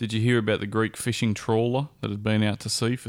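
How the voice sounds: What you hear is a natural reading voice.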